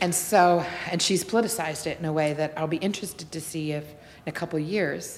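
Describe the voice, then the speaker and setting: A woman speaks in a normal speaking voice, fairly low in pitch, fairly quick and with fairly even intonation. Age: 40s. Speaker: nonprofit director. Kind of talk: interview conversation.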